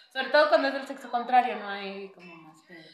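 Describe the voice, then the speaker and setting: A woman's lively intonation amid audible room echo. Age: 20s. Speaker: psychologist and market vendor. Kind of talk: casual chat.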